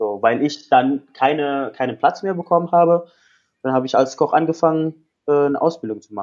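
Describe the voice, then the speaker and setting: Speaking at a moderate tempo, a man uses a fairly high pitch. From Indonesia, Jakarta. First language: Indonesian (speaking German). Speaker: life coach. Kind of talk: interview.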